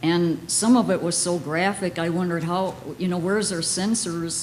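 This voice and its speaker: A woman with an ordinary speaking voice, fairly low in pitch, with ordinary pitch variation. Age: 60s. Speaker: audience member asking a question. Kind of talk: audience question.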